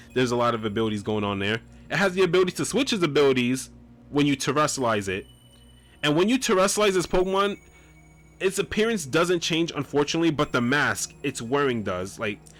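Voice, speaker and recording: The pitch swings very widely at a very fast pace. Music plays in the background. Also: man, fairly high pitch for a man. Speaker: gaming YouTuber. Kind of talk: video game tutorial commentary. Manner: occasional stuttering and self-corrections; casual, energetic.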